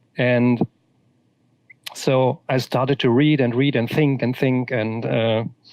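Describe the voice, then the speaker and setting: With a German accent, a man speaks at a medium pitch in a monotone, flat intonation, very slowly and with very even loudness, leaving long, frequent pauses. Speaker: author. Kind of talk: interview. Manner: halting, many repetitions.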